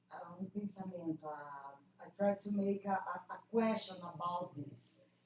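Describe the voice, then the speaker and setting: A somewhat breathy woman with a non-native accent, at a medium pitch, with a fairly slow pace and fairly even intonation. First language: Portuguese. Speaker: classics scholar presenting a paper. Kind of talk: academic Q&A discussion. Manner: halting, hesitant.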